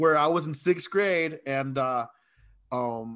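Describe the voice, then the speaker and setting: Against a quiet background, a man speaks with an American accent at a fairly high pitch, with ordinary pitch variation. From San Diego, California. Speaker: teacher. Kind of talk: casual interview. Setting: video call.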